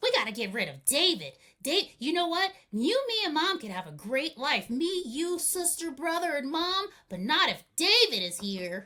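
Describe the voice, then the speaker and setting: A high-pitched, put-on character voice swings very widely in pitch. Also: moderate pace. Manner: scheming.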